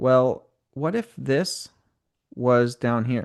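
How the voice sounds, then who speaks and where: A man talks at medium pitch. The background is quiet. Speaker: software trainer. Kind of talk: live tutorial. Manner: casual, halting.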